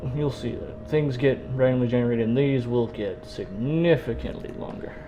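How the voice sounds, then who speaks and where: Over noticeable background noise, a man mumbles at a moderate pace. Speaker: video game streamer. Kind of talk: casual gameplay commentary. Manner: mumbling.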